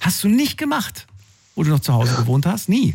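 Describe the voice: A man talks at a moderate pace in a fairly high pitch, his voice swinging very widely up and down. His slightly mellow tone carries a slightly husky edge and vocal fry.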